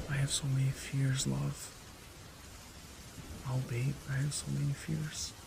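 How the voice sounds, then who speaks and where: This is a man talking. The pitch of his voice is medium. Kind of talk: ASMR fanfiction storytelling, intimate romantic monologue. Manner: soft, intimate, comforting.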